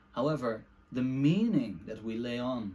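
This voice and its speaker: A man with a Dutch accent, medium pitch, and ordinary pitch variation. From Netherlands. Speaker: book reviewer / video essayist. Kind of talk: casual monologue book review. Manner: halting, many fillers.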